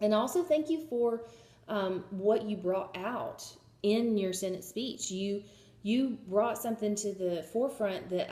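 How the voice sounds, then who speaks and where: A woman with a Southern US accent, moderate pace and ordinary pitch variation. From US South, Georgia. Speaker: job applicant, history student. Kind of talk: video job pitch. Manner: hesitant, many fillers.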